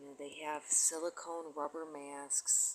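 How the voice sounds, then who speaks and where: A soft-spoken woman talks at a very slow pace. Her pitch is very deep and low. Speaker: conspiracy video blogger. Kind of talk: monologue vlog. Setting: at home near neighbors. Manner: soft-spoken, speaking low; halting.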